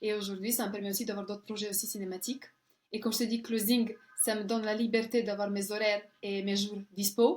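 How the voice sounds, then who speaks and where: A woman's fairly high voice with a Serbian accent, fairly quick in pace and monotone, with flat intonation. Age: 30s. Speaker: closer, model, actress and coach. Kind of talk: interview. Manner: halting.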